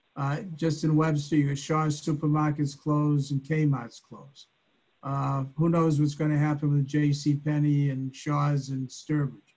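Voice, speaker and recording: Somewhat breathy and fairly high in pitch, a man speaks at a moderate pace with a dark, mellow tone and monotone, flat intonation. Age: 70s. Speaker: property owner, applicant. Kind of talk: public meeting remarks. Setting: video call. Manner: halting, many fillers and repeats.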